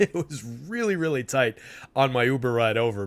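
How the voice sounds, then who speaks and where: A man's voice in a normal speaking voice with an American accent, medium pitch and lively intonation, in a very clean recording with a silent background. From New Jersey. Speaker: sports betting show host. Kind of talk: live stream commentary. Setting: live stream with chat. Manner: casual, filler-heavy.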